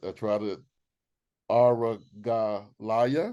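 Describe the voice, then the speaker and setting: A man speaks with a Southern US accent in a dark, mellow tone. The background is quiet. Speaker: webinar host, moderator. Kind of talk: panel discussion, interview questions. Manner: halting, many fillers.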